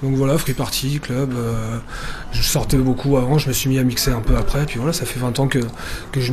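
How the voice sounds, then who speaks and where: Noticeable background noise and audible room echo surround this man's voice. He talks at a fairly quick pace with a fairly high pitch and fairly even intonation. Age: 30s. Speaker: DJ and radio host. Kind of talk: interview.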